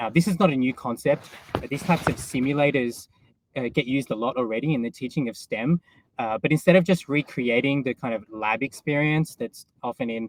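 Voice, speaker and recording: A man at medium pitch with an Australian accent, ordinary pitch variation, a fairly quick pace, and a dry, close sound with no echo. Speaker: tech company executive and science educator. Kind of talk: conference talk.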